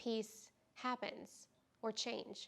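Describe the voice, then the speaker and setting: A woman with fairly high pitch speaks in a monotone, flat intonation. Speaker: yoga teacher. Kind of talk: vlog talk to camera. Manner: slow.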